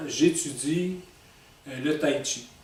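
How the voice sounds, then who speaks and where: A man with a fairly high pitch at a very slow pace, amid audible room echo and noticeable background noise. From Quebec, Montreal. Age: 60s. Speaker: author. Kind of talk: personal self-presentation monologue. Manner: halting, many fillers.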